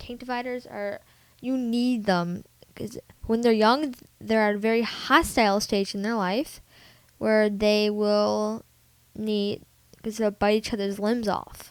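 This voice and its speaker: The woman's voice is fairly high, with fairly even intonation and a fairly slow pace. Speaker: pet tutorial vlogger. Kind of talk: informal tutorial. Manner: halting, mumbling.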